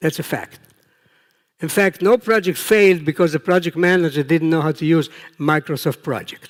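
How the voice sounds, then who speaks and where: This man has a high pitch and ordinary pitch variation, speaking at a moderate pace. The sound is dry and close, with no echo. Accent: Israeli. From Israel. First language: Hebrew. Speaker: professor, project management researcher. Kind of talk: conference talk. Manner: conversational, with fillers.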